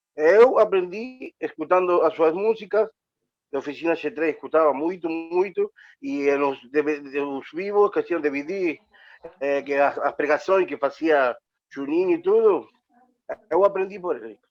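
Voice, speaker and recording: A high-pitched man with a Spanish accent, lively in intonation, at a fairly slow pace, with music in the background. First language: Spanish (speaking Portuguese). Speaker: co-host. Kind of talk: interview.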